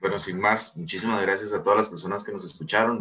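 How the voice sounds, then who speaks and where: The pace is fairly quick, with fairly even intonation. It is a normal speaking voice. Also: man. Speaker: student association president, podcast host. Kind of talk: podcast interview.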